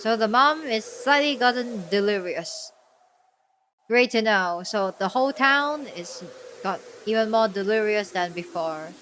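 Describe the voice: At a fairly slow pace, a woman delivers a deadpan, fairly bright tone at medium pitch with lively intonation.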